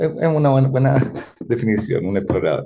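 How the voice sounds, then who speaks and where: With a Chilean accent, a man speaks in a fairly high, somewhat breathy voice that has a dark, mellow tone. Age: 50s. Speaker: futurist and consultant. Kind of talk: interview conversation.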